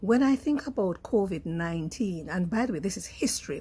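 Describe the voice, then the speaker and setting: A woman with a Jamaican accent talks at a fairly quick pace, somewhat breathy and dark and mellow in tone. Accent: Jamaican English with patois features. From rural Jamaica, Clarendon. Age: 60s. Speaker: radio personality. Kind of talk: casual monologue to camera. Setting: outdoors.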